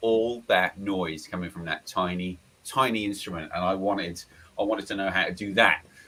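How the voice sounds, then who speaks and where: Speaking in an East Anglian accent at a fairly quick pace, a man with a fairly low pitch is heard over noticeable background noise. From Lowestoft, Suffolk, East Anglia, England. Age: 40s. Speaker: blues harmonica player. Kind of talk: casual interview chat.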